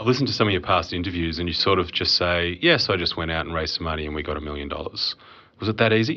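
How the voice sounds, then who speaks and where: Very fast speech from a man with a very deep, low pitch and ordinary pitch variation. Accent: Australian. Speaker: podcast host and accountant. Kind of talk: casual business podcast commentary and interview.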